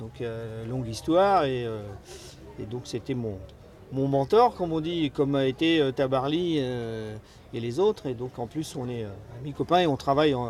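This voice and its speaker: The speaker keeps a moderate pace with ordinary pitch variation and long, frequent pauses. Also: man, medium pitch for a man. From France. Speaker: ocean racing skipper. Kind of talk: interview. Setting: race village. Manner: halting, many hesitations.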